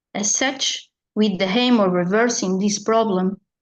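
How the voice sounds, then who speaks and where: A woman speaks with a Portuguese accent. Her voice is fairly high, with ordinary pitch variation. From Portugal. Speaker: librarian. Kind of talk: conference presentation.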